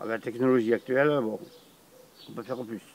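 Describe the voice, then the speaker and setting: A man's voice at a medium pitch. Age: 60s. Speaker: retiree, vintage car enthusiast. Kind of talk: documentary interview. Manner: halting, many hesitations.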